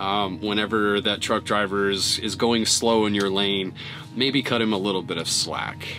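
A man's fairly low voice over clear background music. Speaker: truck driver vlogger. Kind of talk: casual vlog chat. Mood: reflective, somber. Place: car.

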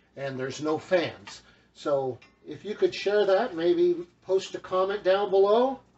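Over clear background music, a man speaks very slowly in a high pitch with ordinary pitch variation. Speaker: home cook vlogger. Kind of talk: casual cooking tutorial chat. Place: kitchen. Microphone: camera far.

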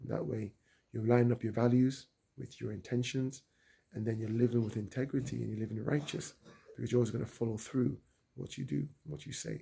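Vocal fry runs through this man's voice as he talks at a fairly quick pace. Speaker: travel vlogger. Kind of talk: casual vlog chat. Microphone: phone near.

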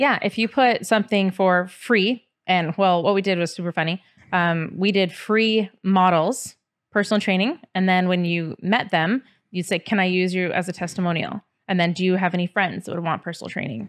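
A woman's voice, with ordinary pitch variation, moves at a moderate pace over a quiet background. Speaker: podcast guest. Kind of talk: interview answer. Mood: relaxed, lightly amused. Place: studio. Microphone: studio mic.

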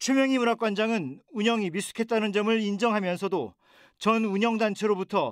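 Dry and close with no echo, this very clean recording with a silent background carries a man's high pitch with ordinary pitch variation. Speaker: news reporter. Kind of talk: news report. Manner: formal.

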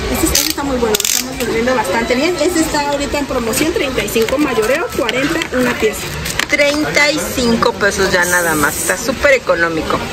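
Moderate pace over loud background noise. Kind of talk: product presentation. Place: shop. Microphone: phone near.

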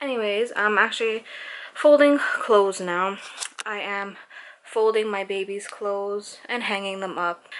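A woman speaks at a fairly slow pace with a medium pitch and fairly even intonation. There is noticeable background noise behind her. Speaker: vlogger. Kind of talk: casual vlog narration. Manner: casual, filler-heavy.

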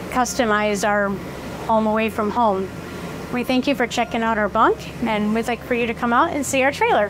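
Speaking at a fairly quick pace, a woman keeps her intonation fairly even over noticeable background noise. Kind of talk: tour guide chat. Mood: warm, proud. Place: home room.

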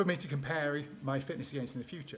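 A man talking at a very fast pace, with ordinary pitch variation and light background noise. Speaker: sports scientist vlogger. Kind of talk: casual vlog chat. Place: home room. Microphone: phone near.

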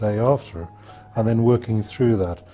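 A man talks at a fairly quick pace with a fairly low pitch and ordinary pitch variation. Faint music plays in the background. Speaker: interviewee. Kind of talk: interview answer. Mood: reflective, candid. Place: studio. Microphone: lapel.

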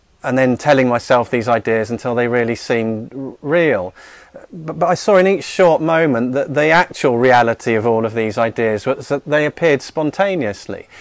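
A man at a moderate pace, with ordinary pitch variation, in a dry sound with no echo and a quiet background. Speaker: spiritual teacher. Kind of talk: talk to audience. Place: studio. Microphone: studio mic.

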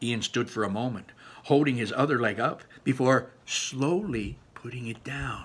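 An unforced voice reads the material aloud.

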